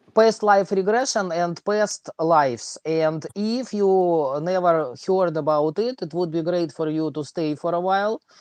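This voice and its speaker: The speech, in a strong Russian accent, goes at a fairly slow pace with hardly any pauses. The background is quiet. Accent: thick Russian. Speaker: livestream host and math teacher. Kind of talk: casual livestream chat. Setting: online livestream. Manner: halting with many fillers.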